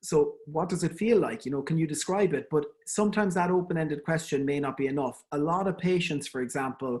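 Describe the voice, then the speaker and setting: Fairly quick speech in an Irish accent over a quiet background. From Ireland. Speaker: endodontist giving a webinar. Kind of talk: lecture. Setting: online webinar. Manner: conversational, with fillers and repetitions.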